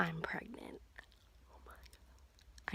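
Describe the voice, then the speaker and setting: A woman speaks quietly at a very slow pace. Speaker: video blogger. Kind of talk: personal video diary. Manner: quiet, hushed.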